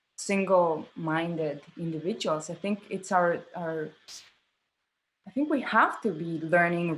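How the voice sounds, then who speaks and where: A woman with a Spanish accent speaks in a medium pitch. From Mexico. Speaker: theatre director. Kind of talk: interview conversation.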